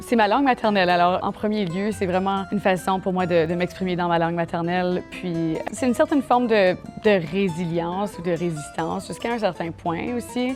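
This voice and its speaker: With hardly any pauses, a woman speaks at a moderate pace and a medium pitch with ordinary pitch variation while music plays in the background. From Manitoba, Canada. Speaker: singer, alternative pop artist. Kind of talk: interview answer.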